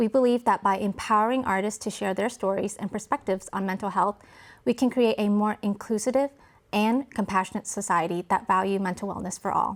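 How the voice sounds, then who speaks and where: A woman's ordinary speaking voice at medium pitch, fairly quick pace and fairly even intonation, on a very clean recording with a silent background. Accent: American. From US South, Arkansas. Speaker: podcast host, nonprofit founder. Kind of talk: scripted intro; interview. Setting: studio.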